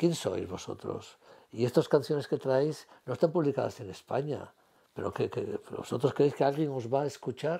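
Over a quiet background, a man speaks at a moderate pace in a somewhat breathy, dark, mellow voice with a fairly high pitch and ordinary pitch variation. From Asturias, Spain. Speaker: retired civil servant, former radio presenter. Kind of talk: interview answer. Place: home room. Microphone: lapel.

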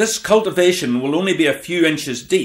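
A man speaks with an unremarkable speaking voice at a moderate pace. His intonation is lively. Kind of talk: vintage farming documentary narration. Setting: voiceover. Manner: measured, even, formal, informative.

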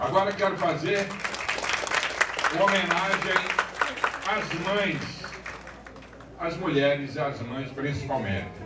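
A man speaks very slowly amid loud background noise. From Rio Grande do Norte, Brazil. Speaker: poet. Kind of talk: speech to an audience. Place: hall.

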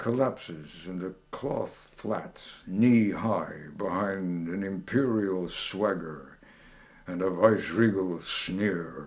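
A man's very deep, low voice at a very slow pace, with ordinary pitch variation. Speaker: poet, WWII veteran. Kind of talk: poetry reading. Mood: bitter, sardonic political critique. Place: home room.

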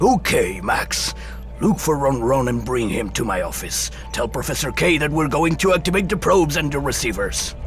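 A man does a cartoonish character voice at a moderate pace while clear music plays in the background. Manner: gloating, commanding.

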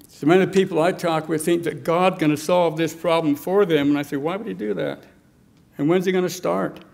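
A man with a high voice talks fairly quickly, his pitch moving in an ordinary way. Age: 70s. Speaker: political activist; speaker. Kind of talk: speech. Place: hall. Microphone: podium.

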